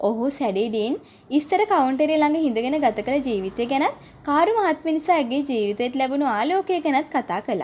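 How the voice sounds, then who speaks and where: Lively in intonation, a woman with a high pitch speaks at a fairly slow pace. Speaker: audiobook narrator. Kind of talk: Sinhala audiobook reading of a translated classic novel. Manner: unhurried, expressive read-aloud pace; steady storytelling narration, shifting into conversational tones for character dialogue.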